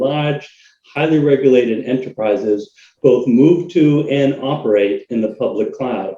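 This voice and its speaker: A man in a Boston accent speaks with a dark, mellow tone. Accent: American, Boston. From US Northeast, Boston, Massachusetts. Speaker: cloud technology consultant. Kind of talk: webinar interview.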